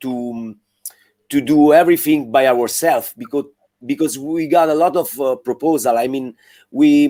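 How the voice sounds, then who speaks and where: A man's fairly high, dark and mellow voice in an Italian accent, with ordinary pitch variation and a moderate pace. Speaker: rock band member. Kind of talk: interview. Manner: halting.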